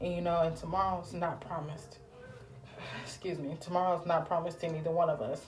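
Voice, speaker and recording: A woman's fairly low, fairly quick voice, with noticeable background noise and audible room echo. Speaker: podcast host. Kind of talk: religious encouragement talk. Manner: animated.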